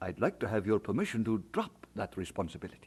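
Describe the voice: Putting on a character voice, a man talks fast at a fairly low pitch with big pitch swings, a husky, rough edge and a slightly mellow tone.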